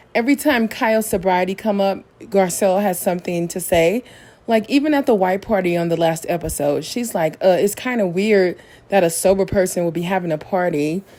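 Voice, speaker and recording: A woman's dark, mellow tone at medium pitch and a fairly quick pace. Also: ordinary pitch variation. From Missouri. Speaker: reality TV recap youtuber. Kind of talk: podcast-style show recap.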